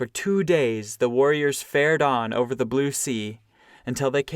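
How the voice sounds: The voice is a natural reading voice. Pitch moves in an ordinary way.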